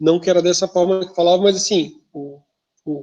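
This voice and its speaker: A southern Brazilian accent comes through. The pace is moderate. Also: man. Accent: southern Brazilian sing-song. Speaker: teacher. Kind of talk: lecture. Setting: video call. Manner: casual, with many fillers.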